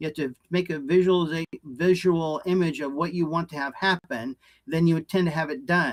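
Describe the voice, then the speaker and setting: This man's voice sits high in pitch, recorded with a dry, close sound and no echo. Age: 70s. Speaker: energy healing practitioner. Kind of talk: interview.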